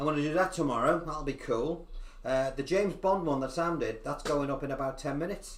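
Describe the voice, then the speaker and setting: Audible room echo around fairly quick talking, its pitch varying in an ordinary way. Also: man, fairly high pitch for a man. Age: 60s. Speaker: guitar teacher and YouTuber. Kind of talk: casual chat. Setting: live stream. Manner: animated.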